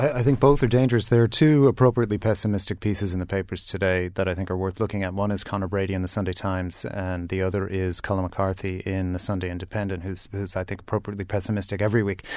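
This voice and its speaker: A man's fairly low voice rushes along very fast, its intonation fairly even. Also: quiet background. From US, New York. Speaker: communications executive. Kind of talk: panel discussion.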